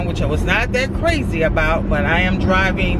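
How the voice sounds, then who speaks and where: Loud background noise sits under a dry sound that has no echo. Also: woman. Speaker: vlogger. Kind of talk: casual vlog chat. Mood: mildly frustrated. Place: car. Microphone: phone near.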